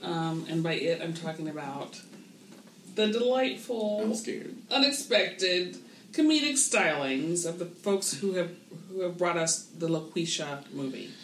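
Noticeable background noise sits under the voice. The delivery is fairly slow. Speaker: podcast host. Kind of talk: casual chat. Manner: animated.

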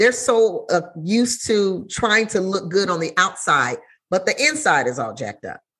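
Bright and sharp in tone, a woman speaks at a medium pitch with very wide pitch swings and vocal fry. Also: moderate pace. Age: 40s. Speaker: podcast host. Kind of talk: casual interview chat.

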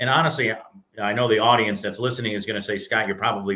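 This is a normal speaking voice from a man. His pitch is medium, with ordinary pitch variation. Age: 30s. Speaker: business executive and entrepreneur. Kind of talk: casual interview.

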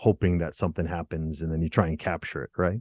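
A man with an American accent at a fairly quick pace, dry, close sound with no echo against a quiet background. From Rhode Island, US. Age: 40s. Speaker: singer-songwriter and author. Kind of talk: interview.

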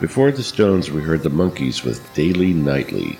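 A man's very deep, low voice over music in the background. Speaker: radio DJ. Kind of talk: radio DJ patter, introspective spoken-word monologue between psychedelic tracks. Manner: measured, reflective and earnest, with a dreamy, sermon-like calm; smooth, formal radio-announcer delivery.

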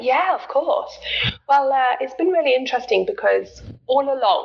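Noticeable background noise sits behind a woman speaking with a British accent. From Britain. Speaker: health coach. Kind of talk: interview. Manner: hesitant fillers.

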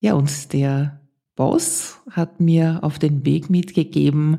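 A woman with an Austrian accent speaks very slowly in a very deep, low voice, her tone dark and mellow and somewhat breathy. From Austria, Vienna. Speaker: podcast host, former radio presenter. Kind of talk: personal storytelling monologue.

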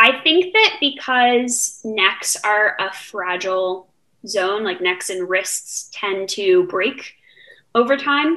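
With an American accent, a woman speaks at a very slow pace and a fairly high pitch. Her tone is bright and sharp, and her intonation is lively. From Los Angeles, US. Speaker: college student and podcast co-host. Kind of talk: casual chat; informal art history presentation.

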